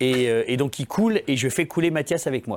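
On a very clean recording with a silent background, a man speaks in an ordinary speaking voice, fairly high in pitch, at a moderate pace with ordinary pitch variation. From France, Saint-Étienne area (Lyon family). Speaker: comedian. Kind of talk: casual chat.

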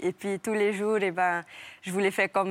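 On a very clean, dry and close recording with no echo and a silent background, a woman speaks at a medium pitch in a flat monotone. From French Polynesia. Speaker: professional surfer. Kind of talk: TV interview.

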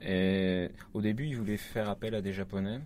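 A man with fairly low pitch and fairly even intonation. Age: 30s. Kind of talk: interview.

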